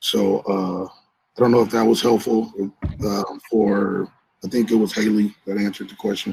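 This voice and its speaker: This man speaks at a moderate pace in a monotone, flat intonation. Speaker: shelter worker. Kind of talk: training workshop.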